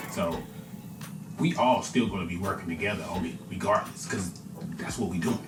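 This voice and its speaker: A quiet man with audible room echo and music in the background. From United States. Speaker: podcast host. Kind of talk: casual monologue. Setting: hotel room. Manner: quiet, low-voiced; halting, repetitive.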